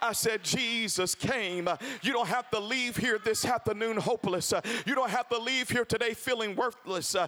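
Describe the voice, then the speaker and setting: A man's raised, projected voice at an extremely high pitch, animated in tone, moderate in pace and very even in loudness, with music in the background. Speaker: preacher. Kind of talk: sermon. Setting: church. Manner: loud, call-and-response preaching.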